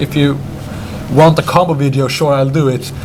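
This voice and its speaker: Against noticeable background noise, a man with a Swedish accent speaks in a fairly high pitch. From Sweden. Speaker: card game deck presenter. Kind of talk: casual chat. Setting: game store with crowd. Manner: halting.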